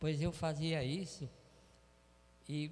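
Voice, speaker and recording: A man is speaking. His voice is somewhat breathy. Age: 80s+. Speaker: church member giving testimony. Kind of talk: testimony. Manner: halting.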